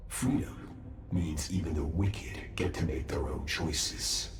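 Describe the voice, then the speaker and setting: Man's put-on character voice at a moderate pace over clear background noise. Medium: machinima. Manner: calm, measured, self-assured.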